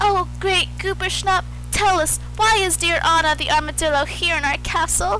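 A cartoonish character voice talks at a moderate pace. Background noise is clearly heard. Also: woman. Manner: friendly, welcoming.

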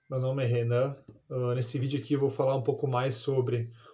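Somewhat breathy man with a Brazilian accent and monotone, flat intonation. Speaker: product reviewer. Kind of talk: casual product testimonial. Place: home room.

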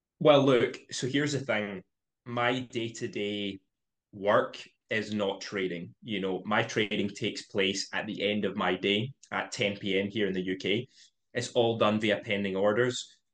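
A man speaking at a fairly slow pace over a quiet background. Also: fairly even intonation. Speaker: podcast guest. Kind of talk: interview answer. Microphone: video call.

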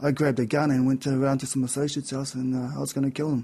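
A man with a medium pitch talks at a very fast pace. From New Zealand, central North Island. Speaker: person in addiction and mental health recovery; interview guest. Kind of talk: interview testimony. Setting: radio/TV studio. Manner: halting, many fillers. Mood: reflective, candid about hard past. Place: studio. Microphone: studio mic.

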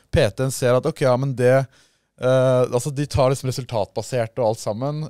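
Dry sound with no echo from a man speaking over a quiet background. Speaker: podcast host. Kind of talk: casual chat. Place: studio. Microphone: studio mic.

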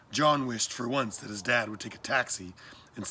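An unforced reading voice moves through its pitch range in a typical way.

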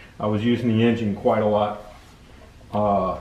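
Over light background noise and audible room echo, a man with a fairly low pitch speaks in a flat monotone at a moderate pace. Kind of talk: tutorial. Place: workshop. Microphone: phone near.

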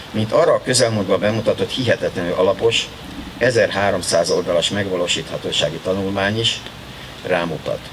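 A man's voice at very even loudness, with noticeable background noise. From Hungary. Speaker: sports official and former Olympic champion. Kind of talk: ceremonial speech. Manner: formal. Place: garden. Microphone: podium.

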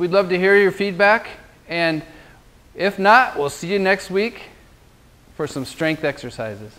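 A man speaking with long, frequent pauses. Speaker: golf fitness trainer. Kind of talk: tutorial. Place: gym.

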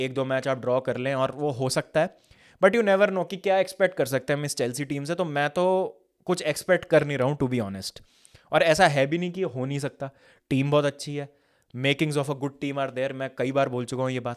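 Fairly quick speech from a man with fairly high pitch and ordinary pitch variation, over a quiet background. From India. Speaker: football fan commentator. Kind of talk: casual match reaction monologue. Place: studio. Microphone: studio mic.

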